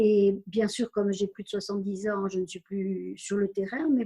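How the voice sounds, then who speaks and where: Speaking at a fairly slow pace, a woman has a medium pitch and a somewhat breathy delivery. Her tone is dark and mellow. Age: 70s. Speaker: community centre volunteer administrator. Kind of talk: interview. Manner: halting, many hesitations.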